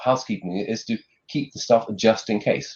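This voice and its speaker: A man talks in a somewhat breathy voice. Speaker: conference speaker on further education data. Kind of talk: lightning talk presentation. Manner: fast; hesitant with fillers.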